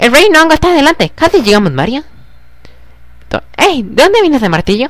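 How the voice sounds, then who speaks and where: This high, put-on character voice moves at a fairly quick pace with very wide pitch swings. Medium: game stream. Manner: nervous, excitable.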